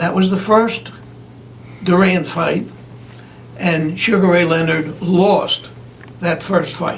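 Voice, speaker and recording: Over noticeable background noise, a man with an American accent talks at a very slow pace, his pitch high and his intonation fairly even. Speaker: longtime announcer and public relations man. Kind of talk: interview answer.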